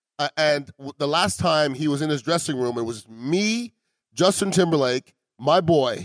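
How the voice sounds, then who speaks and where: On a very clean recording with a silent background, a man talks with a Montreal accent. His pace is moderate, his pitch fairly high, and his pitch variation ordinary. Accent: Canadian English, Montreal. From Montreal, Canada. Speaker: podcast host. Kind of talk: casual chat. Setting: restaurant.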